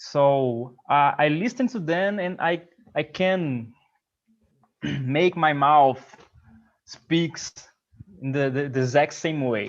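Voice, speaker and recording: Speaking with a Portuguese accent at a very slow pace, a man with a fairly high pitch leaves long, frequent pauses and varies his pitch in an ordinary way. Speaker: English learner. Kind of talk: casual group chat.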